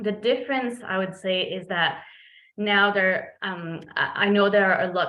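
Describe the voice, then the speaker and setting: The speaker has a French Canadian accent and a moderate pace. Audible room echo surrounds the voice. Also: woman. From Quebec, Montreal. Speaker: veterinarian. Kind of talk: presentation. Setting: video call. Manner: frequent fillers (um).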